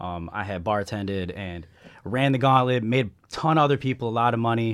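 In an American accent, a man with an unremarkable speaking voice talks at a fairly quick pace, medium in pitch with ordinary pitch variation, on a very clean recording with a silent background. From US Midwest, Chicago area. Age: 30s. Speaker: entrepreneur. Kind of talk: casual chat.

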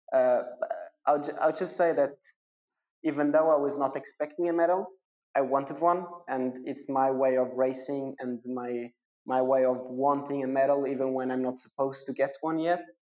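A man with a fairly high pitch, fairly even intonation and a moderate pace. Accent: Portuguese. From Portugal. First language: Portuguese. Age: 20s. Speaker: professional triathlete. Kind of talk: interview. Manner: halting.

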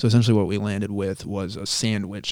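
In an ordinary speaking voice with an American accent, a man talks at a fairly quick pace and fairly low pitch, his intonation fairly even, on a very clean recording with a silent background. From Rhode Island, US (Cumberland). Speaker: mechanical designer and project manager. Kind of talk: casual interview.

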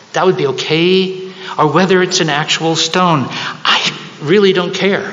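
A man speaks at a fairly slow pace with a high pitch for a man. There is noticeable background noise. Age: 70s. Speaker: preacher. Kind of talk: sermon. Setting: church.

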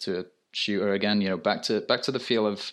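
A man with a British accent and a fairly low pitch. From UK. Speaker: graphic designer. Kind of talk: casual chat. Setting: remote call from France.

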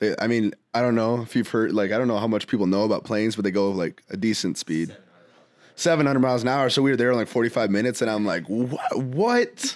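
A plain, everyday voice from a man at a medium pitch, at a fairly quick pace with ordinary pitch variation, on a very clean recording with a silent background. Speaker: music producer and artist. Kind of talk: casual chat.

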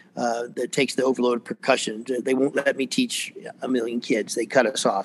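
Moderate pace and medium pitch from a man with an American accent, fairly even in intonation, with noticeable background noise. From US South, Atlanta area, Georgia. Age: 60s. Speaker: percussion professor and percussionist. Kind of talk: casual interview. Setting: video call.

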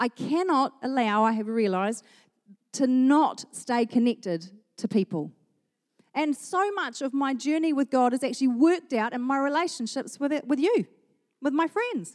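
The speech carries a New Zealand accent and lively intonation at a moderate pace. The sound is dry and close, with no echo. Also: woman, high pitch for a woman. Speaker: pastor. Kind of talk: sermon. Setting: church.

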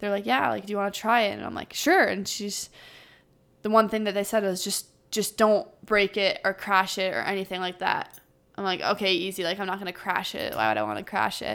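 A woman with a Canadian accent, vocal fry, a fairly quick pace and fairly even intonation. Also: medium pitch for a woman. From Ottawa, Canada. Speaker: pro ice hockey player. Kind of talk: casual interview.

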